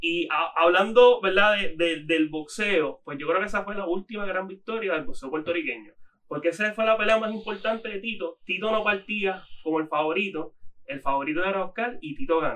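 The man speaks at a high pitch and a moderate pace. His pitch variation is ordinary. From Puerto Rico. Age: 20s. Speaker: sports journalist. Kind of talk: casual chat. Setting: studio.

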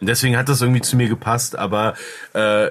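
This man talks very fast at a medium pitch, his intonation fairly even. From Cologne, Germany. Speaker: media producer and podcaster. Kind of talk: casual chat.

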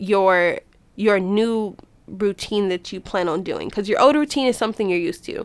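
A woman speaks at a fairly quick pace in an unremarkable speaking voice, medium in pitch with ordinary variation, in a very clean recording against a silent background. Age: 20s. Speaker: podcast host. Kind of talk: casual monologue.

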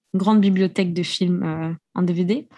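A woman speaks at a medium pitch, her voice somewhat breathy and her intonation fairly even. The recording is very clean, with a silent background. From raised abroad as French expat (Austria, Japan). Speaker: podcaster. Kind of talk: casual chat. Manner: talks a lot when passionate.

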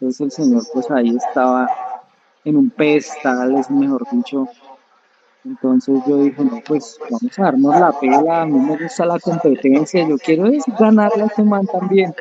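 A man's fairly high-pitched, ordinary speaking voice, with lively intonation at a moderate pace. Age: 20s. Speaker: judo and jiu-jitsu coach and athlete. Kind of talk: interview.

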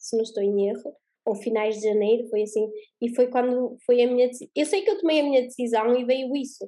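A woman with a high, dark, mellow voice speaks at a fairly quick pace with ordinary pitch variation. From Portugal. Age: 20s. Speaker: spiritual coach and mentor. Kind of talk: interview.

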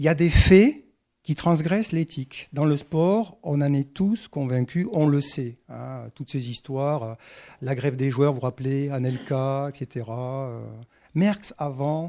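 The voice moves at a very slow pace with a dark, mellow tone. Its pitch varies in an ordinary way. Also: man, fairly high pitch for a man. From southwest France (Occitanie). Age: 60s. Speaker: professor of sports ethics, author. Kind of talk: talk at bookshop event. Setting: bookshop with live audience.

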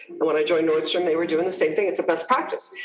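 A woman speaks with an American accent. Audible room echo and noticeable background noise surround her. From US, New Jersey. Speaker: HR executive. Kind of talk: interview.

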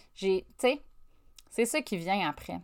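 In a very clean recording with a silent background, a woman talks at a moderate pace in a Quebec accent with ordinary pitch variation. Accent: Québécois French. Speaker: podcast host, life coach. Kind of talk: solo motivational monologue. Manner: casual, conversational.

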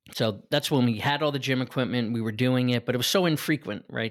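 A man's normal speaking voice at a fairly quick pace, with ordinary pitch variation, on a very clean recording with a silent background. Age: 40s. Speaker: business owner and gym client. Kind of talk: casual interview.

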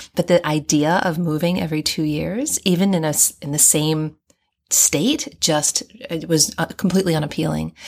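A woman with an American accent, very deep and low in pitch, at a moderate pace with fairly even intonation. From US and Hong Kong (raised overseas). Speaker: guest with a doctorate, third culture kid. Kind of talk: casual interview. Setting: in person.

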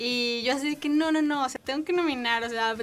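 Very fast speech from a woman, with ordinary pitch variation. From Mexico. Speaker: university student. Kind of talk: casual chat. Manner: animated.

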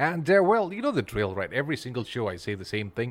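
Talking at a very fast pace with very wide pitch swings, the speaker has a Malaysian accent. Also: man. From Ipoh, Malaysia. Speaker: podcast host. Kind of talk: casual interview chat.

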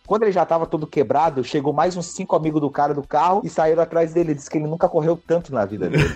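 Music sits in the background as a man talks at a very fast pace. His pitch is fairly high, with ordinary variation. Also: hardly any pauses. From southern Brazil, Joinville, Santa Catarina. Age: 20s. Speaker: MMA fighter. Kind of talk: casual interview chat.

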